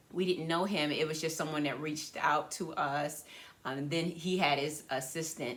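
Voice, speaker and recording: Audible room echo surrounds a woman's voice. She has a very deep, low pitch with ordinary pitch variation. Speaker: podcast co-host. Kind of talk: casual chat.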